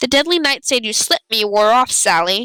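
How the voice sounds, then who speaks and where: A female-sounding voice uses a put-on character voice pitched high. The pace is fairly quick. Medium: game stream. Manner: menacing.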